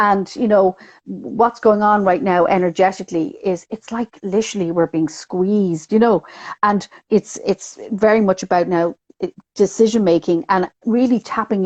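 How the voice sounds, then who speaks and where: A woman speaks with a Dublin accent at a medium pitch and a moderate pace, with ordinary pitch variation. The sound is dry and close, with no echo. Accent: Dublin Irish. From Ireland, Dublin. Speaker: numerologist. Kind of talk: casual interview chat.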